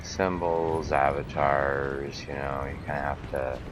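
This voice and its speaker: A man speaks in a very deep, low voice with flat, monotone intonation. The room echo is audible and background noise is noticeable. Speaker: gamer streamer. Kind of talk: gameplay commentary. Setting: home at night, live stream. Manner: soft-spoken; hesitant with fillers. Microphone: quiet on mic.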